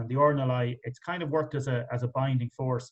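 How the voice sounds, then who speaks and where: A man speaks at a medium pitch with an Irish accent. His pace is fairly quick and his voice is somewhat breathy. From Ireland, County Wicklow. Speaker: interviewer. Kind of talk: interview. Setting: online video event.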